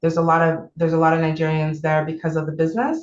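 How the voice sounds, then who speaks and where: Speaking with a strong Canadian accent, a woman has a fairly low pitch. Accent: thick Canadian. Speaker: therapist. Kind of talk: online seminar talk. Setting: video call.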